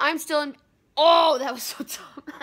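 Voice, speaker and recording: Very slowly, a woman says her lines. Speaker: vlogger. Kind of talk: casual vlog chat. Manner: sore-jawed, careful speech after surgery. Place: home room. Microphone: phone near.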